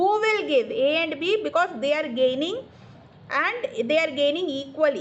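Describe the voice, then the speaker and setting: With an Indian accent, a woman speaks at a high pitch and a moderate pace, her voice making very wide pitch swings over noticeable background noise. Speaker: accountancy tutor. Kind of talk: online tutoring lesson. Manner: explanatory, repetitive.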